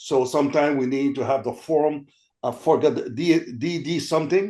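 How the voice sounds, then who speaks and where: Fairly high in pitch yet dark and mellow in tone, a man with a Quebec accent talks at a moderate pace with fairly even intonation. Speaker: army veteran and veterans' career program representative. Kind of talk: panel discussion. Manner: halting, many fillers and repetitions.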